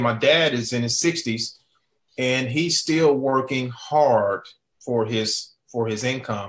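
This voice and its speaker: Speaking with an American accent, a man uses a fairly high pitch and ordinary pitch variation. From Oklahoma. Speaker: network marketing entrepreneur. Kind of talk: sales webinar presentation. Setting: online webinar. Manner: halting, repetitive.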